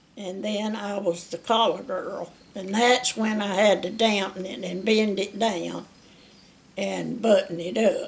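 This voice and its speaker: Speaking at a fairly slow pace with an Alabama accent, a woman is heard over noticeable background noise. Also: medium pitch for a woman. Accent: southern US (Alabama). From US South. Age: 80s+. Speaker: retired factory worker. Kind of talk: oral history interview. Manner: halting.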